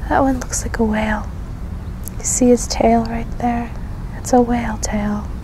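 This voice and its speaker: The speech is fairly slow, with long, frequent pauses. The sound is dry with no echo, and there is noticeable background noise. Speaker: ASMR video creator. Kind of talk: ASMR roleplay, gentle guided sky-watching. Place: garden. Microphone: handheld.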